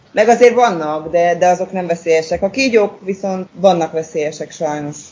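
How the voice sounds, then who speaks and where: A normal speaking voice from a woman, fairly low in pitch, with ordinary pitch variation and a fairly quick pace. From Hungary, Székesfehérvár. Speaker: expat mother who moved abroad. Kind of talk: interview about living abroad.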